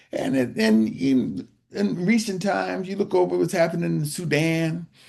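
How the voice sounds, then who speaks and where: Speaking at a fairly slow pace, a man has a high pitch and a dark, mellow tone. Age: 70s. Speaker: urban farmer and author. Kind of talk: interview conversation.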